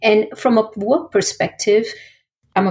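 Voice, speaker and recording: A somewhat breathy woman at a moderate pace, with fairly even intonation. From India. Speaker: product manager. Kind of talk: interview.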